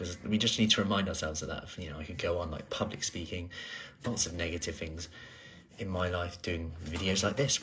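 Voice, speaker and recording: Soft-spoken yet bright and sharp in tone, a man with a very deep, low voice talks very fast with fairly even intonation. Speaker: personal trainer. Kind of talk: casual vlog chat.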